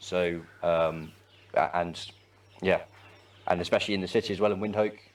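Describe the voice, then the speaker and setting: A man with an English accent speaks at a fairly quick pace. His very deep, low voice stays monotone and flat. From England, West Midlands. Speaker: volunteer, army reservist. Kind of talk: interview. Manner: hesitant, many fillers.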